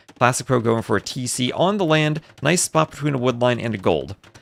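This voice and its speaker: A man with a New Jersey accent at a fairly quick pace, over noticeable background noise. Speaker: esports caster. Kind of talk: live commentary. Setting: live stream. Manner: fast; animated.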